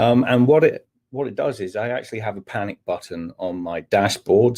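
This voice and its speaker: A man's dark, mellow voice with a Scottish accent and ordinary pitch variation. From Scotland. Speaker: technical manager and trainer. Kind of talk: webinar presentation. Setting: online webinar. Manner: hesitant, many fillers.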